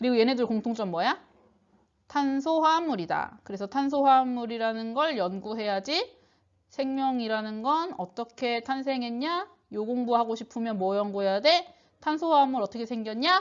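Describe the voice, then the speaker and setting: Lively intonation and a high pitch mark this woman's fairly quick speech. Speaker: high school science teacher. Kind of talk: online lecture. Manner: casual, conversational.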